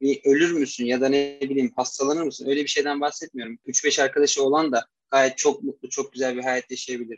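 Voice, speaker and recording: A man with a plain, everyday voice talks at a fairly quick pace and a fairly high pitch, with fairly even intonation, hardly any pauses, and a dry, close sound with no echo. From Turkey, Istanbul. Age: 20s. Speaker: mechanical engineer. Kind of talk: interview.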